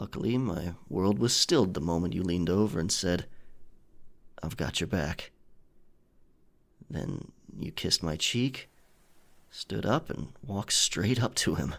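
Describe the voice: In a put-on character voice, a man speaks slowly with a low pitch, a fairly bright tone, vocal fry, lively intonation and long, frequent pauses.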